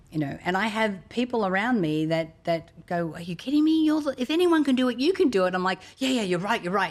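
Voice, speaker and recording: In an Australian accent, the speaker talks at a fairly quick pace with hardly any pauses and very wide pitch swings. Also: woman, fairly high pitch for a woman. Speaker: motivational speaker and author. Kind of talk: interview conversation.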